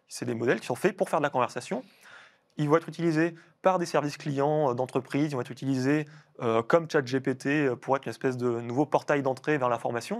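A man speaks in a normal speaking voice, fairly high in pitch and at a fairly quick pace. His pitch varies in an ordinary way, and the background is quiet. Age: 30s. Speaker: cybersecurity researcher; guest. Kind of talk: interview. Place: studio.

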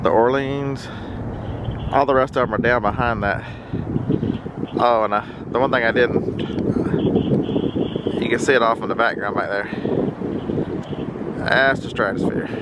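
A dry sound with no echo, loud background noise, a moderate pace, and long, frequent pauses. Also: man. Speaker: travel vlogger. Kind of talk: casual vlog chat. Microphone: phone near.

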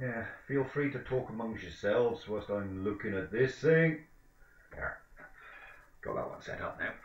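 In a room with audible echo, a somewhat breathy man speaks at a moderate pace with ordinary pitch variation and long, frequent pauses. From England. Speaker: livestream commentator on van auctions. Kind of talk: casual live commentary over an auction stream. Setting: home streaming setup with microphone. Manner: rambling, hesitant, lots of ums and self-corrections. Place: home room. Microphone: webcam.

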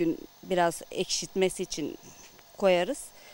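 A woman speaks at a very slow pace. The sound is dry, with no echo. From Antalya, Korkuteli (Turkey). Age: 40s. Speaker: village woman making tarhana. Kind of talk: casual explanation while working. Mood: calm explanatory. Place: garden. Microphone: handheld.

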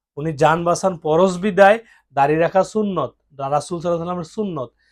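High pitch from a man, with ordinary rise and fall. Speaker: political commentator. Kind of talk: monologue commentary.

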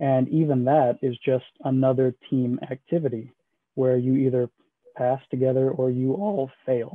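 An American-accented man at a fairly slow pace, with fairly even intonation, very even loudness, and a quiet background. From Houston, Texas. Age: 20s. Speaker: military admissions advisor. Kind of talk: information session presentation. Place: home room. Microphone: video call.

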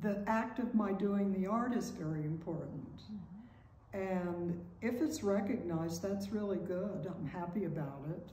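A woman talks at a fairly slow pace with ordinary pitch variation. Audible room echo and light background noise are in the recording. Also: medium pitch for a woman. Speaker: painter. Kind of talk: interview. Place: home room. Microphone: camera far.

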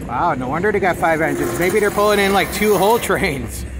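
The speaker moves at a fairly quick pace. Noticeable background noise is present. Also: man, ordinary pitch variation. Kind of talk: casual commentary. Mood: curious, mildly excited. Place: open country. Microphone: phone near.

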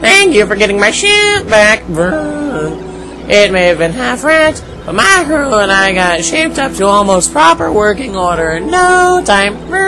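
A put-on character voice at a moderate pace, loud music in the background. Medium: solo performance. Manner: gentle, nostalgic, sad.

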